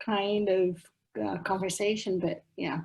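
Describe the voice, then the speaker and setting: With a Brazilian accent, a woman speaks at medium pitch with fairly even intonation. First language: Portuguese. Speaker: language educator. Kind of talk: academic discussion.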